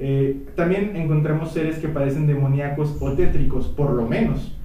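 Speaking fairly slowly with a Mexican accent, a man with a fairly high pitch is heard amid audible room echo and noticeable background noise. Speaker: history podcast host. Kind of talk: casual chat.

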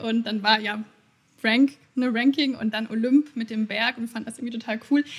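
A woman speaks with a high pitch at a fairly quick pace. Her intonation stays monotone and flat. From Bavaria, Munich. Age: 20s. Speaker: marketing agency founder. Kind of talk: interview.

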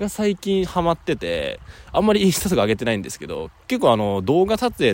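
Pitch swings very widely as this man speaks. His pace is very fast. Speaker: podcaster and company founder. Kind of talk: casual monologue. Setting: outdoors by a river.

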